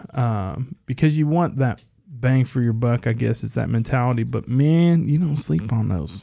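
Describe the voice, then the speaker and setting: A man speaks at medium pitch and a moderate pace, with lively intonation and hardly any pauses. His tone is dark and mellow. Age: 30s. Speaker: whiskey podcast host. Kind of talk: casual chat with whiskey tasting. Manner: animated.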